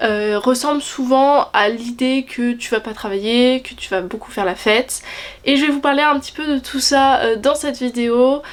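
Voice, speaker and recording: Moderate pace, ordinary pitch variation and big swings in loudness, over noticeable background noise. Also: woman, high pitch for a woman. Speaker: student vlogger. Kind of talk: casual vlog talk to camera.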